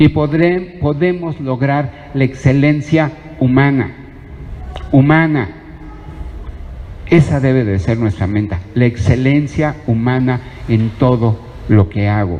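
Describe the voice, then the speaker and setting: With music in the background, a man speaks at a very slow pace with lively intonation and long, frequent pauses. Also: medium pitch for a man. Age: 60s. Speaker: preacher. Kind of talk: sermon.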